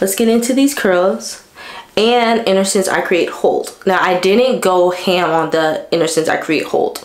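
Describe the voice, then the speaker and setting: At a fairly slow pace, a woman speaks at a medium pitch with ordinary pitch variation and very even loudness, amid noticeable background noise and audible room echo. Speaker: beauty vlogger. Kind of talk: casual vlog talk.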